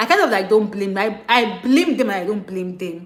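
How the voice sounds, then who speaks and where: With a Nigerian accent, a woman talks at a fairly quick pace in an animated tone, her medium pitch showing ordinary variation, with audible room echo around her. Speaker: international student vlogger. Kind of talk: livestream rant. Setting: live stream. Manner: fast.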